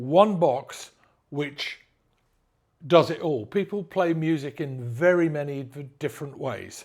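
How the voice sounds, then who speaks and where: On a very clean recording with a silent background, a man in an English accent speaks at a fairly slow pace with a fairly high pitch, ordinary pitch variation and big swings in loudness. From England. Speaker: audio brand sales manager. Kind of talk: product presentation. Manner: halting, repeated stammers.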